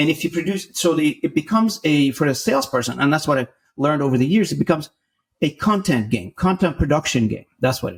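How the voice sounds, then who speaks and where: This man talks at a very fast pace with lively intonation. His pitch is fairly high and his voice is somewhat breathy. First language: not English (English is third language). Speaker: sales executive. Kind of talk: podcast interview.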